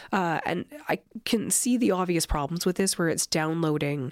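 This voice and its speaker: A woman with an Albertan accent speaks at a fairly quick pace. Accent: Canadian (Alberta). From southern Alberta, Canada. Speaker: political science professor. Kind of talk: interview.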